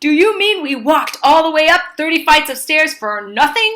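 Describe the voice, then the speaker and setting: A woman performs a put-on character voice. Her pitch is high and her pace moderate. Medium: read story.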